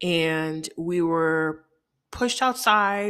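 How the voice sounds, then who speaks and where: A woman with a fairly low pitch and ordinary pitch variation uses a normal speaking voice in a very clean recording with a silent background. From Haiti, moved to Chicago at six. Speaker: podcast host. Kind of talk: personal storytelling monologue.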